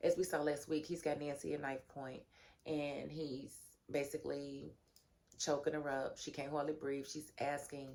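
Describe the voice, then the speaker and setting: Her pitch very deep and low, a woman talks with vocal fry and fairly even intonation. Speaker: TV show reviewer. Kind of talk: casual chat. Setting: home, sleeping grandson in room. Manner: talking low to avoid waking grandson.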